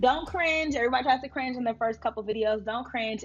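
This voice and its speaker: A woman talks in an animated tone at a high pitch. Noticeable background noise runs under her voice. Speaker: entrepreneur and YouTuber. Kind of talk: tutorial. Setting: recording to camera with notebook. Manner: fast.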